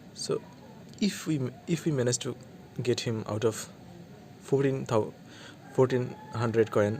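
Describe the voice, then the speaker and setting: With a Bengali accent, a man speaks at a fairly slow pace. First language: Bangla. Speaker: mobile gaming YouTuber. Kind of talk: gameplay commentary. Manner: halting, with frequent restarts.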